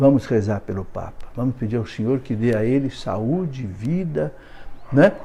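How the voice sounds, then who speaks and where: Fairly slow and somewhat breathy, a man speaks at medium pitch with a dark, mellow tone. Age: 70s. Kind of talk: live video monologue.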